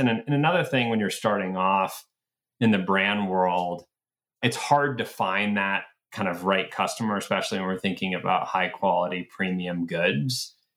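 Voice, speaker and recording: With an American accent and a normal speaking voice, a man talks at a moderate pace, his fairly low pitch showing ordinary variation. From US South, Atlanta. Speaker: retail company founder. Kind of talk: interview conversation.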